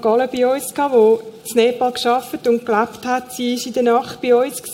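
With noticeable noise in the background, a woman speaks in a high voice at a moderate speed. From Switzerland, Zurich Oberland. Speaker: aid worker, former teacher. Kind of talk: church stage interview. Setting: church stage.

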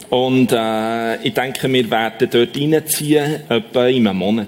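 Noticeable background noise sits under a man's voice. He speaks at a fairly slow pace with lively intonation. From Switzerland, Bern canton (Oberaargau). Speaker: long-distance walker. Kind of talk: testimony. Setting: church.

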